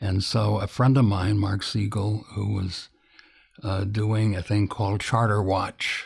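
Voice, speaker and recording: A man's fairly low, somewhat breathy voice with an American accent and monotone, flat intonation on a very clean recording with a silent background. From US Midwest, Illinois. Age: old. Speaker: news editor and publisher. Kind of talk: interview. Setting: recorded at his home. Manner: halting, with many fillers.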